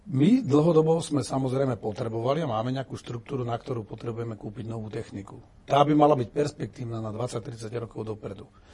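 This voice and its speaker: A man speaks very fast at a medium pitch, with hardly any pauses and ordinary pitch variation. His loudness swings widely, and there is noticeable background noise. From Slovakia. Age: 50s. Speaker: retired general turned politician. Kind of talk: interview.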